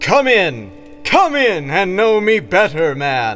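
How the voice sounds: A man speaks very slowly in a high, put-on character voice, with faint music behind him.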